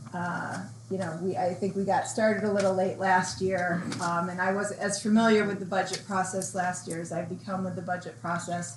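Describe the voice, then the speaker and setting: Against noticeable background noise and audible room echo, a woman of medium pitch speaks at a moderate pace with ordinary pitch variation and hardly any pauses. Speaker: town board member. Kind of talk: public meeting remarks. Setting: town board meeting room.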